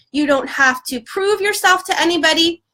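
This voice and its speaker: A woman raises and projects her extremely high voice, bright and sharp in tone. Her pitch swings very widely. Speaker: spiritual coach. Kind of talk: live video teaching. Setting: social media livestream.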